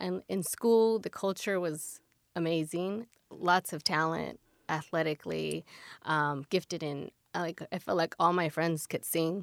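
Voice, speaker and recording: With a Californian accent, a woman speaks at a fairly slow pace and a fairly low pitch, her intonation fairly even and the sound dry and close with no echo. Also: very clean recording, silent background. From San Fernando Valley, Los Angeles. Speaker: mother of three. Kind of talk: interview. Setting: studio.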